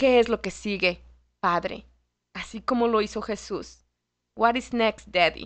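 A woman at a medium pitch and fairly slow pace, with ordinary pitch variation, against a quiet background. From Mexico City. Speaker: lay ministry instructor. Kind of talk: radio interview on faith. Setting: radio studio.

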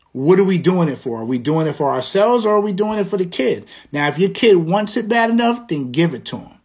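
Very fast and with hardly any pauses, a man talks at a high pitch with very wide pitch swings. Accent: New York. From Long Island, New York. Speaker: podcast host and school dean. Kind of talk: solo livestream talk. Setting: Instagram live stream. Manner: conversational.

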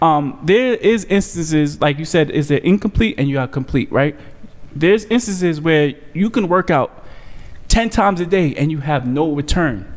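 Lively in intonation, a man with a New York accent speaks at a fairly high pitch and a moderate pace. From New York, Staten Island. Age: 20s. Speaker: comedian and podcast host. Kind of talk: casual chat. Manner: animated.

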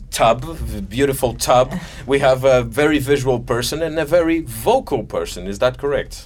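A man with a Portuguese accent speaks at a moderate pace amid noticeable background noise. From Madeira, Portugal. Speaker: talk show host. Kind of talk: interview. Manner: halting.

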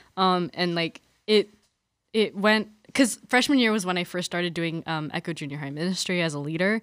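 In an American accent, a woman talks at a moderate pace with a normal speaking voice, fairly low pitch and ordinary pitch variation, on a very clean recording with a silent background. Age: young. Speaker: college student and campus ministry volunteer. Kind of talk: casual interview about faith. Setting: studio.

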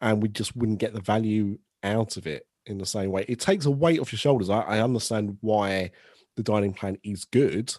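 A man with a British accent, medium in pitch and moderate in pace, recorded with a dry, close sound and no echo. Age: 30s. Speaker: podcast host. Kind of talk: casual chat.

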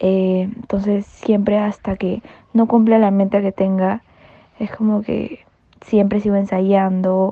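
Very slowly, a woman speaks in a monotone with flat intonation. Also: medium pitch for a woman. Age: 20s. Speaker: marinera dancer. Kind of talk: interview. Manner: hesitant fillers.

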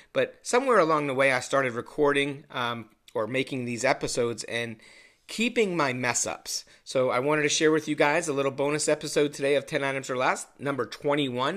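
Someone talks at a fairly quick pace in an ordinary speaking voice with ordinary pitch variation. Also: man. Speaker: podcast host. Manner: casual, swears often.

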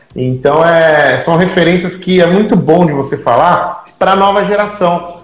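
A man with a high pitch talks against noticeable background noise. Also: ordinary pitch variation, fairly slow pace. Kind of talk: casual live-stream interview. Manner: animated.

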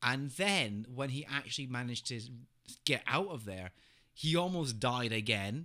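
A man speaks at medium pitch and a moderate pace with a bright, sharp tone on a very clean recording with a silent background. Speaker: podcast host. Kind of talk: casual comedic chat about TV and games.

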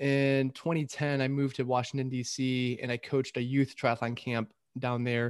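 In a flat monotone, a man with an American accent speaks at a moderate pace and medium pitch. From Michigan. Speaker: triathlon coach, podcast host. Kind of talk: casual chat.

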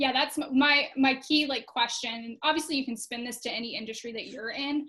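With an American accent and a raised, projected voice, a woman speaks at a moderate pace with hardly any pauses, her tone bright and sharp, her pitch high and her intonation fairly even. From Florida. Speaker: social media agency owner. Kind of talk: casual interview.

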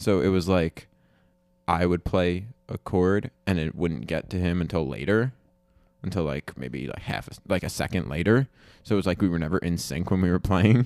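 This man's very deep, low voice carries vocal fry, with ordinary pitch variation at a moderate pace. The sound is dry and close with no echo, in a very clean recording with a silent background. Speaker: student podcast host. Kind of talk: casual chat.

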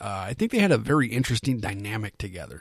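Very wide pitch swings at a moderate pace, on a very clean recording with a silent background. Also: man. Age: 30s. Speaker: film review podcast host. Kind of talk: solo podcast monologue. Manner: casual, filler-heavy.

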